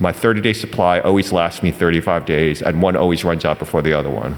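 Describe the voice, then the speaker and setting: A man with a very deep, low pitch talks at a very fast pace with ordinary pitch variation. Noticeable background noise runs behind him. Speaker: physician and health services provider. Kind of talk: panel presentation. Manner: halting, many fillers.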